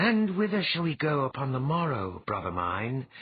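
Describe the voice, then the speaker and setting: Using a put-on character voice, a man speaks at a moderate pace with a fairly high pitch and very wide pitch swings. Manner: demanding.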